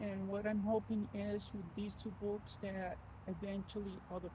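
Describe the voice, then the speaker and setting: A woman speaks at a very slow pace. Audible room echo and noticeable background noise surround her voice. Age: 60s. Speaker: author and abuse survivor. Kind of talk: personal vlog. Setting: outdoors on a walking trail. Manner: halting, many repetitions.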